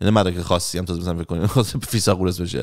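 The speaker is a man. Behind him, things stay quiet. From Iran. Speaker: YouTuber and life coach; YouTuber, life coach. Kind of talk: casual monologue. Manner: casual, conversational. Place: home room. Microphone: studio mic.

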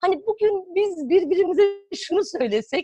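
A woman speaks at a fairly slow pace, the sound dry with no echo. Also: quiet background. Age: 40s. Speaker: psychotherapist and author; guest. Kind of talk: interview. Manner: hesitant, many fillers. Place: home room. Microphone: video call.

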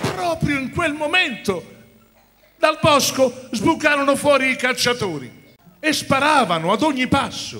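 A man speaks at a fairly slow pace, his extremely high pitch carried by lively intonation. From Rome, Italy. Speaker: actor. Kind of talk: live narration of a musical fairy tale for children. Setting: theatre stage with orchestra. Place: stage. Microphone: handheld.

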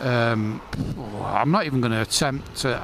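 Over noticeable background noise, a man with an English accent talks at a moderate pace. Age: 50s. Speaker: motorcycle vlogger. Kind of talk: casual vlog monologue. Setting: riding a motorcycle outdoors.

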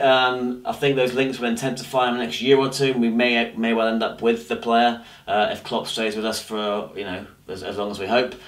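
With a fairly quick pace, a man is talking. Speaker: football fan vlogger. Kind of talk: casual vlog chat. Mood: disappointed, mildly exasperated. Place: home room.

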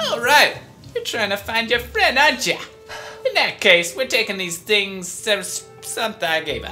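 Clear background music behind a put-on character voice, moving at a moderate pace. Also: female-sounding voice, fairly high pitch for a woman. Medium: fan dub. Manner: sassy, chatty.

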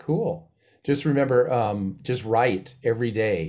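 Lively intonation from a man with an American accent, a dark, mellow tone, and medium pitch. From Missoula, Montana. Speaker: percussion professor. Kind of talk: panel discussion.

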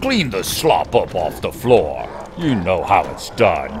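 A man puts on a character voice at a fairly slow pace. Background noise is clearly audible. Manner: sneering, contemptuous, gruff.

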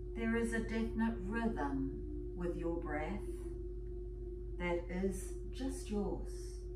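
Loud background noise fills the clip while a woman speaks at a very slow pace. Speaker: yoga and meditation teacher. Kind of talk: guided meditation. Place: home room. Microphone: camera far.

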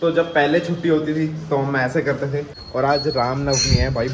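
Noticeable background noise behind a man's speech. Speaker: vlogger. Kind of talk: casual vlog chat. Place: home room. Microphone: phone near.

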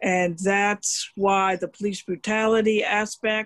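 Against a quiet background, a woman is heard. Her pitch sits at a medium level. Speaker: audience member. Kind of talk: audience comment. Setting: video call. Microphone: video call.

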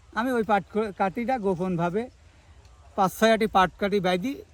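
A man's voice, high in pitch. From Bangladesh, Kushtia. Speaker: local villager. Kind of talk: storytelling interview.

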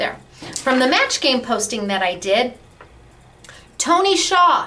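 Raised and projected, a woman's high-pitched, animated voice swings very widely in pitch at a moderate pace over light background noise. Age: 40s. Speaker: crafting store owner and video host. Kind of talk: product demonstration and sales pitch. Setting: studio. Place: office. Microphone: webcam.

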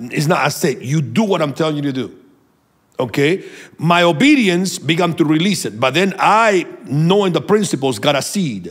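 Over a quiet background, a man with a fairly high pitch, vocal fry and lively intonation speaks at a moderate pace. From Venezuela. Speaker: prophet and minister; minister. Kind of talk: sermon-like teaching and prayer. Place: studio. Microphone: studio mic.

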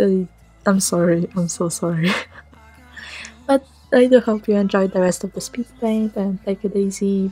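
Music plays in the background as a woman speaks at a moderate pace and medium pitch. Her intonation is fairly even, with long, frequent pauses. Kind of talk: casual voice-over commentary on a speedpaint. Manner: monotone, low-energy.

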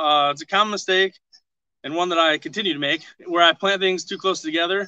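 A man's high-pitched voice with an American accent, at a fairly quick pace, with ordinary pitch variation and a dry sound with no echo. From northern Michigan. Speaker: master gardener and homesteader. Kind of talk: outdoor gardening tutorial on a livestream. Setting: outdoors at his homestead, video livestream. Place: garden. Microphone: camera far.

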